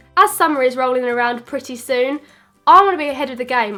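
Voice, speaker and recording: Over music in the background, a woman talks at a fairly quick pace in a high pitch, with a raised, projected voice. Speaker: beauty vlogger. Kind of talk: casual talk to camera.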